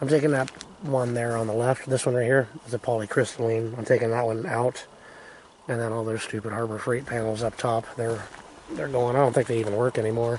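Over light background noise, a man talks at a very fast pace. His intonation is fairly even, and the sound is dry with no echo. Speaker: homesteader. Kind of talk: casual talk to camera. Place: open country. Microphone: phone near.

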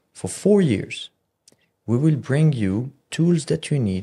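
Somewhat breathy and dark, mellow in tone, a man speaks at a fairly slow pace on a very clean recording with a silent background. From Morocco. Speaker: watch brand founder. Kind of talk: casual chat.

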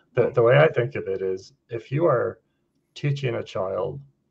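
The speaker has a Western New York accent and a fairly slow pace. The background is quiet. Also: man. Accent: Western New York American. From US, Buffalo, New York. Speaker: retired pharmacist; guest. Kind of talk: casual discussion. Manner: halting. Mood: calm, thoughtful. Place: home room. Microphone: studio mic.

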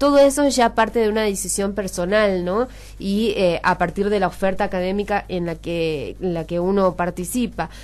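A woman with an unremarkable speaking voice talks at a medium pitch and moderate pace, with hardly any pauses. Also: ordinary pitch variation. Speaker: radio host. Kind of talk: radio interview. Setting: radio studio. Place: studio.

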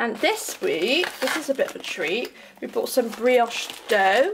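A woman speaks at a fairly high pitch with big pitch swings and a fairly slow pace. Her voice has a husky, rough edge and vocal fry.

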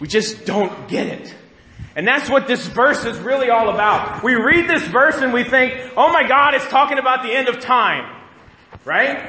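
With audible room echo, a man speaks at a moderate pace in an extremely high voice with ordinary pitch variation. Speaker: pastor. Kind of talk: sermon. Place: church.

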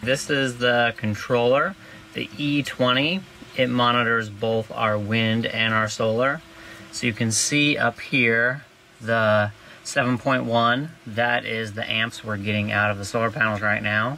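A man speaks at a very slow pace with fairly even intonation. Light background noise is present. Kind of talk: tutorial. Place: boat. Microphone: phone near.

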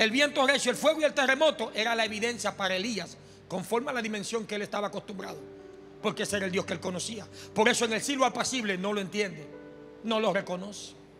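A man's raised, projected voice at a very fast pace with ordinary pitch variation, clear music in the background. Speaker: preacher. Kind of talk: sermon. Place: church. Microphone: handheld.

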